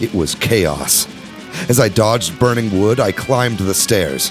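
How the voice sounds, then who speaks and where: Music can be heard behind the speaker. He is a man with a fairly low voice. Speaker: podcast host. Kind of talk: audiobook narration.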